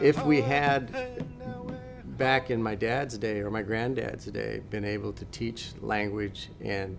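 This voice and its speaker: Music plays in the background. A man with a fairly low pitch speaks at a fairly slow pace. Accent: American. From Western Oregon, USA. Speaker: language and traditional arts instructor. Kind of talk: interview answer.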